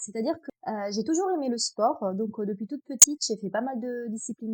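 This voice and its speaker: With an Italian accent, a woman speaks with lively intonation, a dark, mellow tone and a fairly high pitch. The recording is very clean and silent in the background, with a dry, close sound and no echo. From Italy, Abruzzo. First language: Italian (speaking French). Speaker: trail runner. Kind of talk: podcast interview. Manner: hesitant, many fillers.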